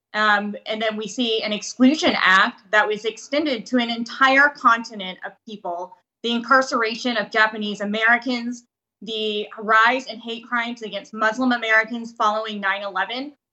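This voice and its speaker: This woman has a fairly high pitch and fairly even intonation at a moderate pace. It is an ordinary speaking voice. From US, Vietnamese-American family. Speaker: state legislator. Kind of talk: interview.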